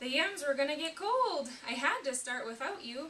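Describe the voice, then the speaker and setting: A put-on character voice at a moderate pace with clear background noise. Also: woman, high pitch for a woman. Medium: read story.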